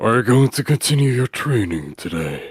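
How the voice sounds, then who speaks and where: This man puts on a raspy character voice at a medium pitch, his intonation lively and bouncing. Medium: read story. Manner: cryptic, terse.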